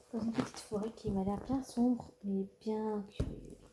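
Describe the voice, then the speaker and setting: Monotone, flat intonation from a woman with a fairly high pitch. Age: 20s. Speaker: ASMR artist. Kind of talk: ASMR reading. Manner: soft-spoken.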